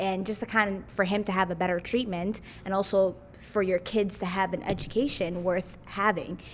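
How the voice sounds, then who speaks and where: At a moderate pace, a woman with a Somali accent speaks at a medium pitch in a monotone, flat delivery. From Somalia, came to Minnesota as a child. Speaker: community member. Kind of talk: casual chat. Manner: halting, many fillers.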